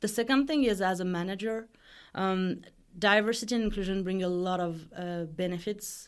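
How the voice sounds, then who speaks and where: A woman speaks with a French accent at a medium pitch. Her pitch varies in an ordinary way. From France. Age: 30s. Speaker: design executive. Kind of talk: interview. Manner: halting.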